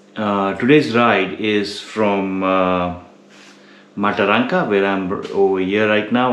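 Light background noise and audible room echo surround a man speaking at a fairly low pitch. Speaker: motorcycle touring vlogger. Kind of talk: casual vlog chat. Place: home room. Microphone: phone near.

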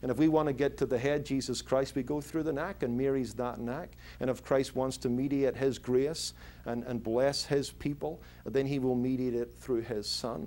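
This man has a Northern Irish accent and a dark, mellow tone. He keeps a moderate pace with fairly even intonation. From Northern Ireland (Belfast). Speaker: pastor. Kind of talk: interview answer. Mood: earnest, explanatory. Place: office.

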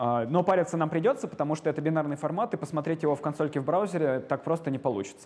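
A man talks at a very fast pace. He hardly pauses at all. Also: fairly high pitch for a man, ordinary pitch variation. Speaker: lecturer. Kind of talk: lecture. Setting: lecture hall with students. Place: classroom. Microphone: lapel.

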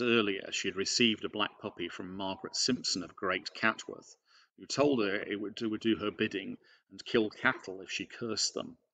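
A man's fairly low voice at a moderate pace, fairly even in intonation, over a quiet background. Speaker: presenter. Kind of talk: lecture. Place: home room. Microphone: webcam.

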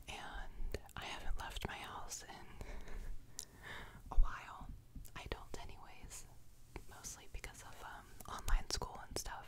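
A soft-spoken woman whispering at a fairly slow pace, with long, frequent pauses over loud background noise. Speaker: home video creator. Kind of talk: casual vlog chat, soft ASMR-style. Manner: soft close-mic ASMR whisper. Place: home room. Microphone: studio mic.

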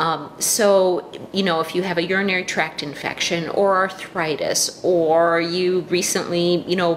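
A woman talks with ordinary pitch variation. Light background noise can be heard. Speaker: health educator. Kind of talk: informal health talk. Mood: calm, explanatory. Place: kitchen. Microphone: webcam.

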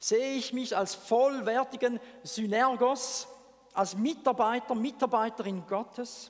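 A man talks at a very slow pace. His pitch is extremely high. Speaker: preacher. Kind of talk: sermon. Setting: church. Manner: animated; conversational. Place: church. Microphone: headset.

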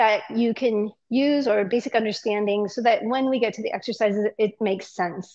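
A woman's voice at a moderate pace, with ordinary pitch variation, against a quiet background. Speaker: workshop instructor. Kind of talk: lecture. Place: gym.

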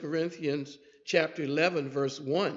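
The background is quiet as a man talks in a fairly high pitch. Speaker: preacher. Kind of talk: sermon. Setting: church. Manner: repetitive, emphatic. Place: church. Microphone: podium.

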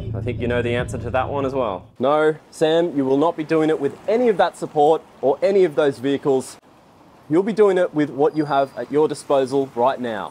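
A man speaks at a fairly quick pace in a dark, mellow tone. His pitch varies in an ordinary way, and there is light background noise. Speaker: travel vlogger. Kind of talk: casual vlog chat. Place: street. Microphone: lapel.

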